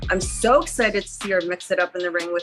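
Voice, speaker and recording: A woman speaking at a moderate pace, with music in the background. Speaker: professional wrestler. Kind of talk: interview answer.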